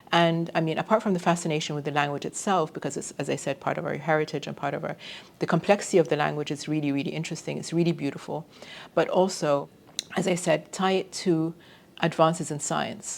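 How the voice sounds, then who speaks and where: This woman has a very deep, low pitch and an Arabic accent. She talks very fast with fairly even intonation. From Egypt. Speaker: computer science professor. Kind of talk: interview talk. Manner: hesitant fillers.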